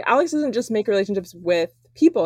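A woman at a very fast pace, in a dry, close sound with no echo. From Smoky Mountains, Tennessee. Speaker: guest, traveler and van lifer. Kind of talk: casual conversation. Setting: video call from parents' basement.

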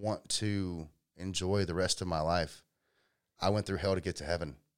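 With a Georgia accent, a man talks in a very deep, low pitch with vocal fry and ordinary pitch variation, recorded very cleanly against a silent background. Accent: Southern American (Georgia). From US South, Georgia (Powder Springs). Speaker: electrician and small business owner. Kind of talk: casual interview, personal life story.

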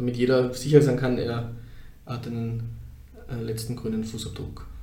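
A man speaks at a moderate pace with audible room echo. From Upper Austria, near Steyr. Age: 30s. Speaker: crematorium founder and funeral director. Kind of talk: interview.

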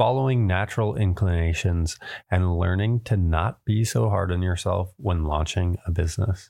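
Delivery comes at a moderate pace with ordinary pitch variation. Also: man. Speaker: podcast host. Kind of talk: interview conversation.

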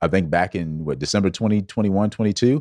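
In a very clean recording with a silent background, a man with an American accent speaks at a fairly quick pace. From US South, Georgetown, South Carolina. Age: 40s. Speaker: wellness coach. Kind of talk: casual chat. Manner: animated.

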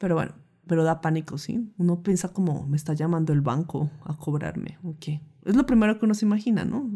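A woman with a fairly low pitch speaks at a fairly quick pace in a dark, mellow tone. Her somewhat breathy voice moves with ordinary pitch variation. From Colombia. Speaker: nutritionist and podcast host. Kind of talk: personal storytelling monologue.

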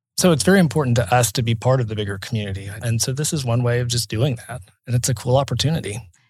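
A man talks very fast in an American accent at a medium pitch. His voice is somewhat breathy, with ordinary pitch variation. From Oklahoma City. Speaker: town mayor. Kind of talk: casual interview.

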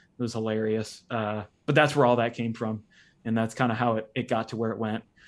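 A man talks at a fairly quick pace with a Midwestern American accent. His intonation is monotone and flat. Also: very clean recording, silent background. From US Midwest, northeastern Ohio. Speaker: former CrossFit athlete. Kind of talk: casual interview.

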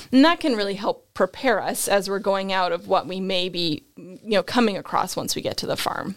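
A woman speaks at a medium pitch with ordinary pitch variation and an American accent, at a moderate pace with hardly any pauses. Her loudness swings widely. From Nova Scotia, Canada. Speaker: equine veterinarian. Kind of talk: casual interview about veterinary topics.

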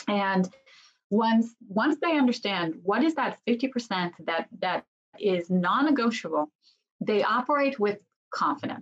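A woman with a fairly high, somewhat breathy voice speaks at a fairly slow pace, her intonation lively and her loudness very even. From Israel. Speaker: business consultant and executive coach. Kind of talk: interview. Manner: halting.

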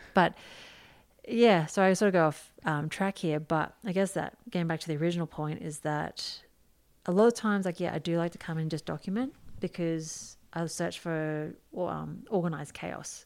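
In a very clean recording with a silent background, a woman speaks with an Australian accent. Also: fairly low pitch for a woman, ordinary pitch variation, moderate pace. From Queensland, Australia. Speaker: photographer. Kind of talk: casual chat.

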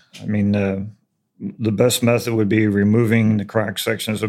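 A man speaks at a moderate pace in a normal speaking voice, his pitch fairly low. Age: 60s. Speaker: retired mason and contractor. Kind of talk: interview about building construction.

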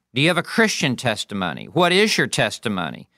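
Bright and sharp in tone, a man's voice carries vocal fry and very wide pitch swings. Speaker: pastor and preaching teacher. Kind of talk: lecture. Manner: demonstrative and passionate when preaching.

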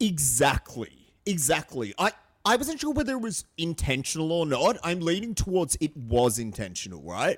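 With an Australian accent, a man speaks at a moderate pace in a fairly high, animated voice. His pitch swings very widely. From Australia, small country town. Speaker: podcast co-host. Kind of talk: casual chat.

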